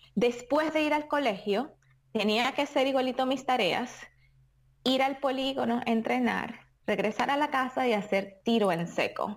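A woman with a high pitch speaks at a fairly slow pace, her loudness very even and her pitch varying an ordinary amount, on a very clean recording with a silent background. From Venezuela. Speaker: champion sport shooter. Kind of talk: interview.

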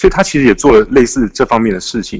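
A man speaks with a Taiwanese accent and ordinary pitch variation. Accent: Taiwanese Mandarin. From Taiwan, Taipei. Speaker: author. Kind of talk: interview.

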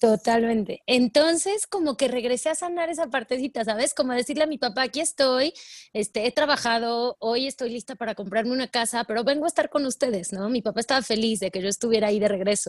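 Against a quiet background, a woman with a high pitch speaks very fast with lively intonation and hardly any pauses, the sound dry and close with no echo. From Mexico, Puebla. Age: 30s. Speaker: life coach. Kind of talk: interview.

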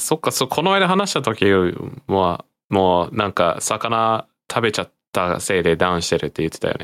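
At a moderate pace, a man with a fairly low pitch uses lively intonation in a plain, everyday voice, with a dry, close sound and no echo. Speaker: podcast co-host. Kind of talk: casual chat.

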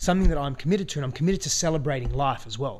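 Very fast, somewhat breathy speech from a man with ordinary pitch variation, on a very clean recording with a silent background. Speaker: guest's husband, new father. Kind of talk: casual conversation.

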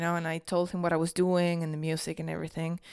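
A speaker with a Spanish accent is captured in a very clean recording against a silent background. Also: woman. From Argentina, Tucumán. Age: 20s. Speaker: podcast host. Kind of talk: casual monologue.

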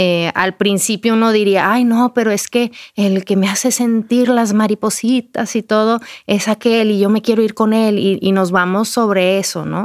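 Her intonation monotone and flat, a woman keeps a moderate pace and very even loudness in a dry, close recording with no echo. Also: fairly high pitch for a woman, very clean recording, silent background. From Mexico, Durango. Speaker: writer and speaker. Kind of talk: interview. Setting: studio.

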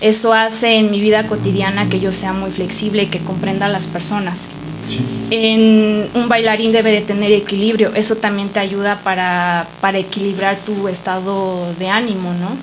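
In a room with audible echo and noticeable background noise, a woman speaks at a moderate pace with a medium pitch and flat, monotone intonation. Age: 30s. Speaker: dancer. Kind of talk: casual chat.

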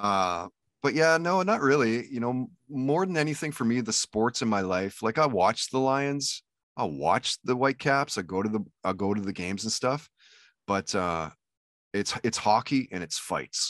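With a Canadian accent, a man lets his pitch swing very widely. The sound is dry and close with no echo, over a quiet background. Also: medium pitch for a man, moderate pace. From Canada. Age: 40s. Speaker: radio DJ and podcaster. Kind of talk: casual chat.

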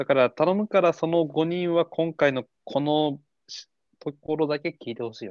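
Animated in tone, a man with a fairly high pitch talks at a moderate pace with ordinary pitch variation and big swings in loudness. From Tochigi, Japan. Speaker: podcast co-host. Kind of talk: casual chat. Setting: remote recording, hosts in different places. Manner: animated, frequent laughter.

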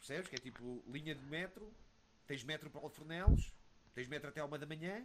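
In an unremarkable speaking voice, a man talks at a fairly quick pace with a fairly high pitch, ordinary pitch variation and big swings in loudness. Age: 30s. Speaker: retired esports player. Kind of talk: casual interview.

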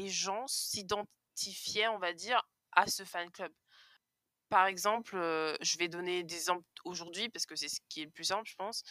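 Her tone bright and sharp, a woman speaks at a fairly slow pace in a dry, close recording with no echo, very clean with a silent background. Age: 20s. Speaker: podcaster. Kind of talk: casual chat.

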